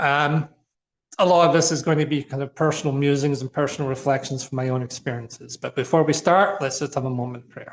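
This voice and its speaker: Very fast speech from a man with a Scottish accent and fairly even intonation. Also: fairly high pitch for a man. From Scotland. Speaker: minister. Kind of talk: informal talk. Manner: conversational, with fillers.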